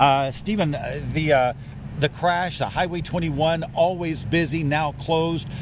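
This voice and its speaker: Noticeable background noise accompanies a man speaking with an American accent at a moderate pace. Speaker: TV news anchor and reporter. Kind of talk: live field news report at a crash scene. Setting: outdoors at night, on location.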